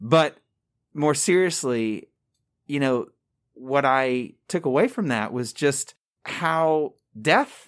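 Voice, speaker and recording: With an American accent, a man speaks at a very slow pace in a fairly high pitch. His intonation is lively, and he makes long, frequent pauses. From Long Island, New York. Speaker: hospital chaplain. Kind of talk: casual interview.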